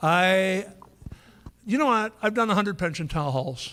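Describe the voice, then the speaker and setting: In a Canadian accent, a man speaks with lively intonation. The recording is very clean, with a silent background. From Canada. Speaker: political activist speaker. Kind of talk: public speech with Q&A.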